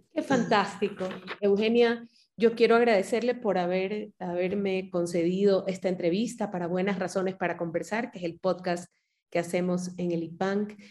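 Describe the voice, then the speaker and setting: A woman's unremarkable speaking voice at a moderate pace. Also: medium pitch for a woman. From Ecuador. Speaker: podcast host. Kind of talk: interview.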